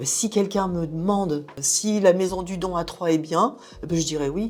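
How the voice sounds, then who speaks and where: A woman's voice with ordinary pitch variation against noticeable background noise. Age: 60s. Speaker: blood and plasma donor. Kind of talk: interview testimony. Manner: casual, with hesitations.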